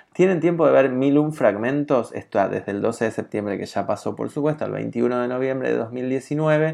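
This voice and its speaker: Against a quiet background, the voice has a dark, mellow tone and ordinary pitch variation, at a moderate pace with hardly any pauses. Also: man, medium pitch for a man. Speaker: podcast host. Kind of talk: podcast monologue and interview.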